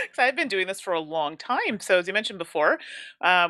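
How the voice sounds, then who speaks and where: On a very clean recording with a silent background, a woman with a bright, sharp tone speaks at medium pitch and a moderate pace, her intonation lively. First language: English (speaking French). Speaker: board game content creator and teacher. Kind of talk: interview.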